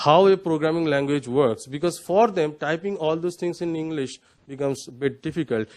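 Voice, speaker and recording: A man speaks with a Bengali accent. His pitch is fairly high, with ordinary variation. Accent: Indian English, Bengali. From West Bengal, India. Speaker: panelist. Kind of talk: panel discussion. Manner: halting, many fillers.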